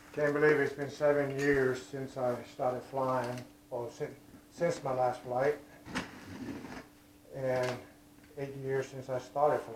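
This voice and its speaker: Speaking in a Hawaiian accent, a man talks at a very slow pace with long, frequent pauses, a medium pitch, monotone, flat intonation and big swings in loudness, while noticeable background noise runs underneath. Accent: local Hawaiian. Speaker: aerospace worker, RC plane hobbyist. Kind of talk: casual unboxing talk to camera.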